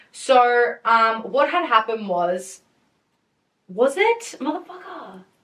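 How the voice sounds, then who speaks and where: A woman speaks in an animated tone at a high pitch. Her pitch swings very widely. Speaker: podcast host. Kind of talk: casual chat. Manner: loud.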